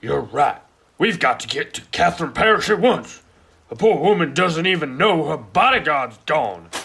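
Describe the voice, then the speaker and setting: In a put-on character voice, a man speaks high and raspy. The pitch sits high for him. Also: moderate pace. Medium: stage play. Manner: excitable, fretful.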